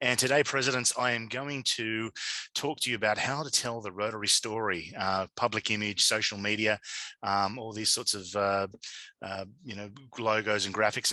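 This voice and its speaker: Against a quiet background, a man with an Australian accent talks at a fairly quick pace. His fairly low voice has a bright, sharp tone. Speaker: digital media consultant and conference speaker. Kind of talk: conference presentation. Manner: halting, many fillers.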